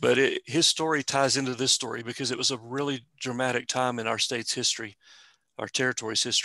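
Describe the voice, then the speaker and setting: A man with a West Texas accent speaks at a medium pitch. His tone is bright and sharp, and his intonation stays flat and monotone. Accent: West Texas-style Southwestern US drawl. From eastern New Mexico. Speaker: museum staff presenter. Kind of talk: informal presentation with Q&A. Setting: video call.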